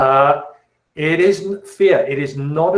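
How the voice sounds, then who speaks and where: The voice is somewhat breathy. It carries a British accent. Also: man. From England, south of London. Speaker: chemistry teacher. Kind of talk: class orientation and Q&A. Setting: video call.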